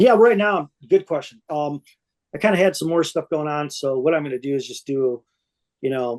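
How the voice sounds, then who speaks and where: An ordinary speaking voice from a man with an American accent, fairly high in pitch, with lively intonation at a moderate pace, in dry, close sound with no echo. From Michigan. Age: 60s. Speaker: record label founder. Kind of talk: interview.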